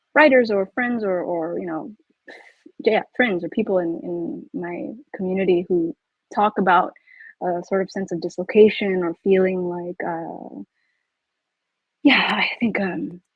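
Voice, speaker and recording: With a Californian accent, a woman talks at a fairly slow pace and medium pitch, using lively intonation, big swings in loudness, and long, frequent pauses. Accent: Californian American English. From US, California Bay Area (Milpitas). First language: Pangasinan. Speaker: author. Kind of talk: panel discussion. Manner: halting, many false starts.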